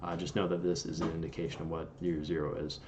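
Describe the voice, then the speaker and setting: With audible room echo, a man talks at a very deep, low pitch with ordinary pitch variation. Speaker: engineering tutor on video channel. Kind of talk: tutorial.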